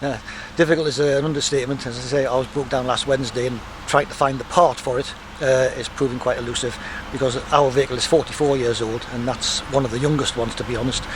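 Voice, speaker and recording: A man talks at a very fast pace with medium pitch and monotone, flat intonation. Noticeable background noise is present. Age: 70s. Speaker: bus enthusiast and driver. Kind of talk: interview.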